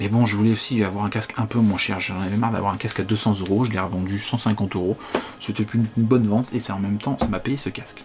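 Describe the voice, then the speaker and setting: The man's words come very fast. Behind him, background noise is noticeable. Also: fairly low pitch for a man, fairly even intonation. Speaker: tech reviewer. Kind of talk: product review. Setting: home living room. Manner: casual, hesitant; loud.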